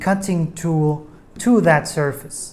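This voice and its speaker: This speaker, with a non-native accent, talks at a very slow pace. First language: not English. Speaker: DIY tutorial maker. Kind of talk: tutorial. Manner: hesitant, many fillers.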